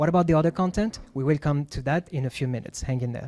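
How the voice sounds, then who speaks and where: With a French accent, a man talks very fast in a dark, mellow tone with ordinary pitch variation, and the sound is dry and close with no echo. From France. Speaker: UX writer / content designer. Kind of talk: presentation talk at meetup. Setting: meetup with live audience. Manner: halting, many fillers.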